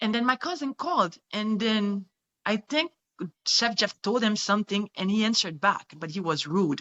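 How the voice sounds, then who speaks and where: The speaker has a French accent and lively intonation. The pace is moderate. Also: woman, fairly high pitch for a woman. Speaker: kidnapping survivor. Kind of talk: testimony. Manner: halting.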